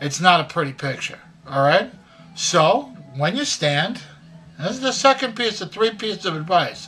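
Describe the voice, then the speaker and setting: High-pitched, raised and projected male voice at a moderate pace, with very wide pitch swings, long frequent pauses and music in the background. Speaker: grandfather. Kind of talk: casual advice talk to camera. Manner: folksy, conversational.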